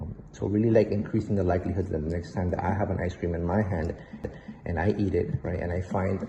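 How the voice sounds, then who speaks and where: Speaking in a Spanish accent, a man with a very deep, low pitch moves at a fairly quick pace with fairly even intonation. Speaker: behavior analyst. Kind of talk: presentation. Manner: hesitant, many fillers.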